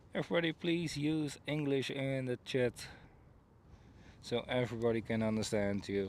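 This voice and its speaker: A man with a Dutch accent at a medium pitch, moderate pace and ordinary pitch variation, very even loudness and long, frequent pauses. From Netherlands. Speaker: planespotting livestreamer. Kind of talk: live commentary. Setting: outdoors by runway.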